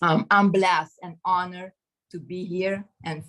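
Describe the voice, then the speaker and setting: A woman with a non-native accent speaks at a fairly slow pace in an animated tone. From Caribbean. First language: not English. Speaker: network marketing member. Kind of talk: testimony.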